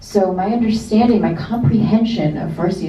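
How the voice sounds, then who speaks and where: Noticeable background noise and audible room echo accompany a woman speaking in an American accent. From US, Iranian household. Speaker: author on panel. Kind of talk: panel discussion. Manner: casual, many fillers.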